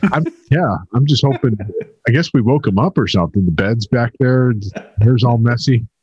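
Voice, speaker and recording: This man has an ordinary speaking voice at medium pitch, with lively intonation. The sound is dry and close with no echo, and his loudness stays very even. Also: moderate pace. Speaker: podcast co-host. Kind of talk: casual chat.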